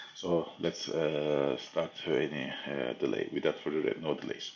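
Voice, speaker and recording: Very slowly, a man speaks in a Turkish accent. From Turkey. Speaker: geopolitics commentator. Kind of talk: analysis talk. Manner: halting, many fillers.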